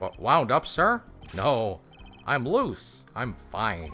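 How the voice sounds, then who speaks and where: Over faint music in the background, a man does a shrill, put-on character voice at a medium pitch and a very slow pace, with very wide pitch swings. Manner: forced, overly casual denial.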